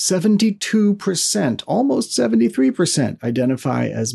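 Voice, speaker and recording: The voice moves at a fairly quick pace, recorded dry and close with no echo. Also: man. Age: 50s. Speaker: podcast host and novelist. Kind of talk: solo podcast monologue. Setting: home studio. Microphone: studio microphone into computer.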